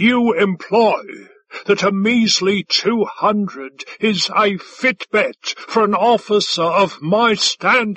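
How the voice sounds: A man bellows in a put-on character voice, high in pitch with a fairly bright tone and a slightly husky edge. He goes at a slow pace, and the sound is dry and close with no echo. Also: ordinary pitch variation.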